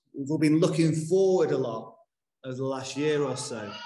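Lively intonation marks this man's speech, which carries audible room echo. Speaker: minister. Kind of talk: sermon. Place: church.

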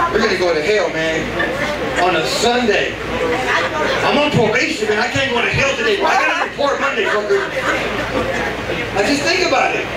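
A man talks at a fairly quick pace with long, frequent pauses. Loud background noise and audible room echo fill the recording. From Texas, Houston. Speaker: stand-up comedian. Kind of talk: stand-up. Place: stage.

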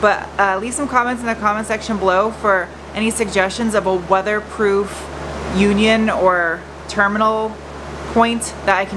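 Noticeable background noise sits behind a woman speaking at a moderate pace with fairly even intonation. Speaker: car project vlogger. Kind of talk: casual vlog chat. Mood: playful, laughing. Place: garage. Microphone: phone near.

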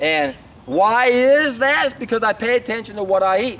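A man's extremely high voice with a fairly bright tone, lively intonation and a moderate pace

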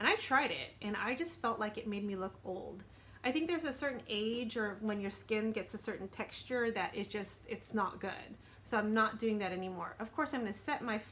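Here a woman talks at a moderate pace with ordinary pitch variation. Light background noise can be heard. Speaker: beauty vlogger. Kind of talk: casual vlog chat. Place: home room. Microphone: phone near.

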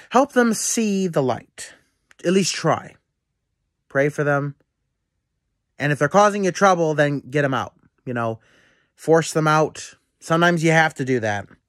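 Against a quiet background with a dry, echo-free sound, a man talks at a moderate pace with long, frequent pauses. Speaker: vlogger on spiritual topics. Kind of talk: casual vlog chat. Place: home room. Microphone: phone near.

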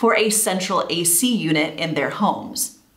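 Audible room echo surrounds a woman speaking with lively intonation. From United States. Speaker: YouTuber. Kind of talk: scripted narration.

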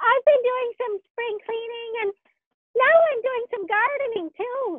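The voice is a cartoonish character voice at an extremely high pitch. It moves at a fairly slow pace. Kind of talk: children's puppet show. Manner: upbeat, excited.

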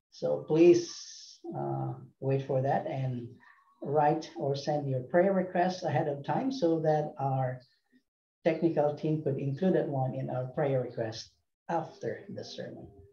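A man's fairly high, somewhat breathy voice with a dark, mellow tone at a very slow pace, with audible room echo and a quiet background. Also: ordinary pitch variation. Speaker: ministry announcer. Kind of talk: announcements. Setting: video call. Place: home room. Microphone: video call.

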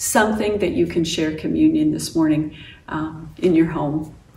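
With audible room echo around her, a woman speaks at a fairly slow pace. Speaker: pastor. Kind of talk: worship welcome address. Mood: warm, welcoming. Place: home room. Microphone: camera far.

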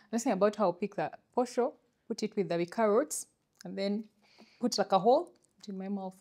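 A woman with a Ugandan accent, dark and mellow in tone, fairly quick in pace, with ordinary pitch variation, long, frequent pauses and a quiet background. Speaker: podcast co-host. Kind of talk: casual chat. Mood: animated, storytelling. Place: studio. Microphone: lapel.

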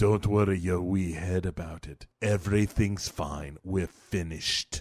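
A man puts on a character voice with a very deep, low pitch. He delivers it at a fairly slow pace. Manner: menacing.

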